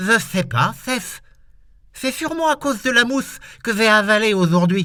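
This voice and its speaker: Using a put-on character voice, a man talks at a moderate pace with a high pitch, recorded very cleanly against a silent background. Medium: read story. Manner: lisping.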